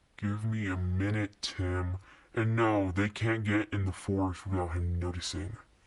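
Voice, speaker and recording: A put-on character voice speaks at a moderate pace in a monotone, flat intonation. The background is quiet. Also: man, fairly low pitch for a man. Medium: read story. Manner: sullen.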